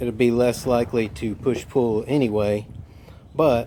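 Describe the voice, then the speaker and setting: Soft-spoken, a man with a medium pitch keeps his intonation fairly even. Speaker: mobile welder. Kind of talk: tutorial.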